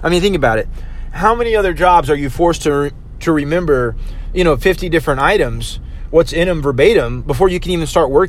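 At a very fast pace, a man talks in a high voice with ordinary pitch variation, against noticeable background noise. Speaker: podcast host, restaurant server. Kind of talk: casual monologue. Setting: in a car. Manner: casual, many fillers. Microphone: cheap USB mic picking up every sound.

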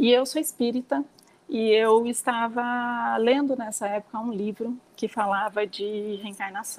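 A woman speaks at a fairly slow pace in an ordinary speaking voice, her pitch fairly high and her intonation fairly even. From interior of São Paulo state, Brazil. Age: 40s. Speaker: nail salon owner and mother. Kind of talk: casual interview chat.

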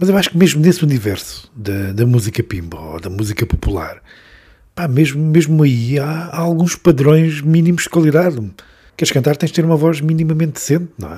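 A man with a fairly high pitch and a dark, mellow tone talks at a fairly quick pace, sounding somewhat breathy. His intonation is lively, and his loudness swings widely. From Beira region, Portugal. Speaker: podcast host. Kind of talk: interview.

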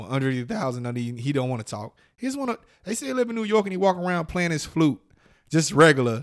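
The recording is very clean and the background silent. A man talks with lively intonation. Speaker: podcast host. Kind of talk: heated debate. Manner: loud, combative, profane.

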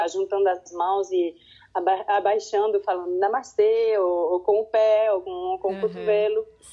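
A woman with a Swiss French accent speaks fairly slowly in a dark, mellow tone, her fairly high pitch showing ordinary variation. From French-speaking Switzerland. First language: French (speaking Portuguese). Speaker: kindergarten teacher. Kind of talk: interview. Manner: halting, repeats words.

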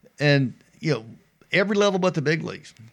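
A man with a Mississippi accent, vocal fry, lively intonation and a moderate pace. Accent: Southern US (Mississippi). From US South. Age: 50s. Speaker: former baseball pitcher. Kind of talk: casual chat. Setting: studio.

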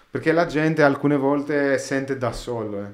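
A man speaks with a Greek accent, and audible room echo surrounds his voice. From Greece, Athens. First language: Greek (speaking Italian). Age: 30s. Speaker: sound engineer. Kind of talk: casual chat. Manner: halting.

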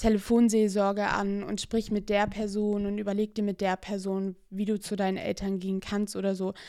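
A woman's medium-pitched voice holds monotone, flat intonation at a moderate pace. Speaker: podcaster. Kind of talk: casual solo monologue. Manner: hesitant, many fillers.

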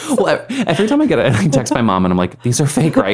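A man speaks at a very fast pace. Noticeable background noise runs under the recording. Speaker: podcast host. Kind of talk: casual chat.

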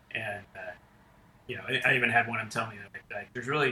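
Noticeable background noise behind a man with an American accent, talking at a fairly quick pace. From western North Carolina. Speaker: military pilot and photographer. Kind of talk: interview. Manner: halting, many fillers.

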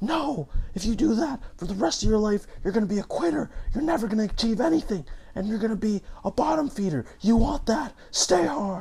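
Shouting in a put-on character voice, the speaker goes at a fairly quick pace with a fairly high pitch over light background noise. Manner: harsh, yelling.

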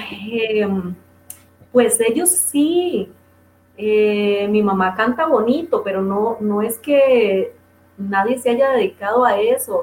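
A woman's lively, fairly high voice with a Costa Rican accent at a very slow pace, broken by long, frequent pauses over noticeable background noise. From Costa Rica, southern zone (Golfito). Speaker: singer. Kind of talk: interview. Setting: radio stream.

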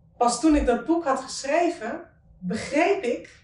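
Amid noticeable background noise, a woman speaks at a moderate speed. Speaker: author. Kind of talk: interview conversation.

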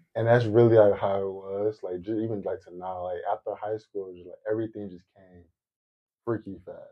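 A man speaks with monotone, flat intonation and big swings in loudness. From Detroit, US. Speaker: financial analyst. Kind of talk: casual chat. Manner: talkative.

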